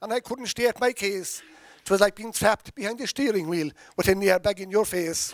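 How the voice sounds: Natural reading voice, ordinary pitch variation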